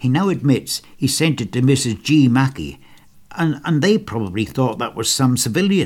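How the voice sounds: The reading voice is natural. Its intonation rises and falls in a lively way.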